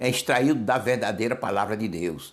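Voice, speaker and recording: A man at a fairly slow pace amid audible room echo. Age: 70s. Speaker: pastor. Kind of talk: sermon. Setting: solo video recording.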